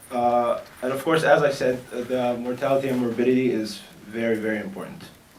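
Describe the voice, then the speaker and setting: Medium-pitched male speech at a moderate pace, set against noticeable background noise. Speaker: medical researcher. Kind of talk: conference presentation. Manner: hesitant, many fillers.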